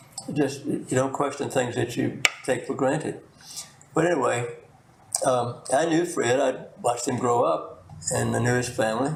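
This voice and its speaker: A man with an American accent at medium pitch, fairly even intonation and very even loudness, at a moderate pace with long, frequent pauses and audible room echo. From US South. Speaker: retired pharmacist and former state delegate. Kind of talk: oral history interview. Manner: halting, frequent repetitions and fillers.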